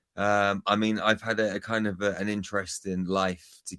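A man with a British accent and a very deep, low pitch speaks at a moderate pace with fairly even intonation on a very clean recording with a silent background. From UK. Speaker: spiritual healer and speaker. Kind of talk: radio interview.

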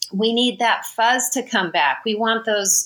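Delivered in a plain, everyday voice, the speech moves fairly slowly and keeps a fairly even intonation. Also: woman. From Southern California, Riverside area. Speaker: makeup and hair designer. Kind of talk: interview.

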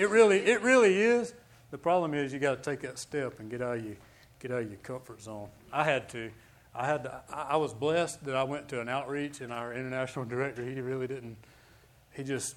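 A man talks in an ordinary speaking voice, medium in pitch with ordinary pitch variation. His loudness swings widely. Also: fairly quick pace. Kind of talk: fervent altar-call prayer, preaching a blessing over a congregation.

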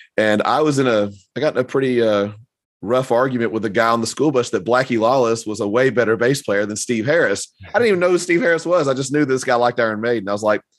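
A man with an American accent talks at a very fast pace and medium pitch, with ordinary pitch variation. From US South. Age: 50s. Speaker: podcast host. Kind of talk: casual chat.

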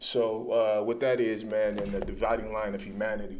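A man's fairly low voice at a moderate pace, with fairly even intonation, audible room echo and noticeable background noise. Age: 40s. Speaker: author and martial artist. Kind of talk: casual interview. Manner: halting.

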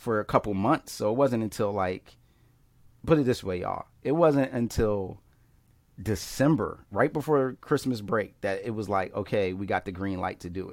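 At a moderate pace, a man uses an ordinary speaking voice, and his pitch varies in an ordinary way. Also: fairly low pitch for a man. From Philadelphia, US Northeast. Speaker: pastor and filmmaker. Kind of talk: casual interview chat.

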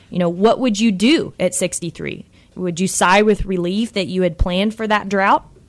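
In a Texan accent, a woman speaks at a fairly slow pace. Her pitch is medium, with ordinary variation. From Texas. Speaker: financial advisor. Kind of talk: radio talk show.

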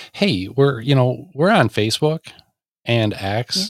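Lively intonation runs through this man's talk, delivered in an unremarkable speaking voice. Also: dry, close sound with no echo, very clean recording, silent background. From Michigan. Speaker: podcast host. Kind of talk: casual chat; prayer.

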